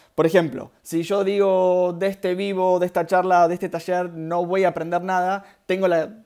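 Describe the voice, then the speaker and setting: A man in a Rioplatense accent, high-pitched for a man, dark and mellow in tone, with monotone, flat intonation in a very clean recording with a silent background. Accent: Argentine Rioplatense Spanish. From Argentina. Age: 30s. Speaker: spiritual workshop leader, therapist. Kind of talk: live-streamed workshop talk. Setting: live stream, two cameras. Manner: fast; hesitant fillers.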